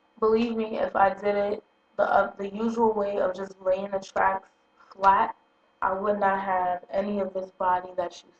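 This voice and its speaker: A soft-spoken woman at a moderate pace, with monotone, flat intonation. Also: medium pitch for a woman. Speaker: hair tutorial vlogger. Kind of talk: tutorial. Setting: at home early morning.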